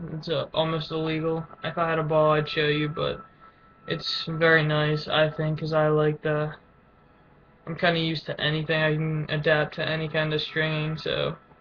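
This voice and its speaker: Against noticeable background noise, a man speaks at a moderate pace with fairly high pitch and monotone, flat intonation. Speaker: lacrosse player vlogger. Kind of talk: casual webcam show-and-tell. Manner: halting, stuttering.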